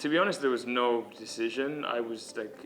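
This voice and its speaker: Music plays in the background as a man talks at a moderate pace. His pitch is medium with ordinary variation. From Kenya. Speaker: college student, former soccer player. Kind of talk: interview answer.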